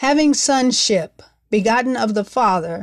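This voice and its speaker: Spoken at a fairly slow pace in an ordinary speaking voice, with ordinary pitch variation, on a very clean recording with a silent background. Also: woman. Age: 40s. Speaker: podcast host and Bible teacher. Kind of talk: devotional Bible teaching. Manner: formal.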